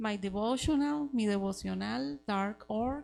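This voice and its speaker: Over music in the background, a woman speaks in a Costa Rican accent. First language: Spanish. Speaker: missionary. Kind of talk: testimony. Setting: church Sunday school class. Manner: halting, searching for words.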